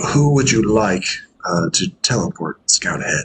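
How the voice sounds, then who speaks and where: Quiet and at a moderate pace, a man performs a put-on character voice with very wide pitch swings. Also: medium pitch for a man. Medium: actual play. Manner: hushed, quick.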